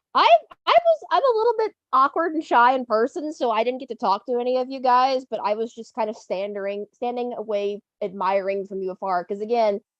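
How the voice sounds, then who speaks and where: A woman with a slight Southern US accent talks at a fairly quick pace and high pitch with lively intonation, the sound dry and close with no echo. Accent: slightly Southern. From Ohio, US. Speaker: railroad fan, Patreon supporter. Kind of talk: casual chat.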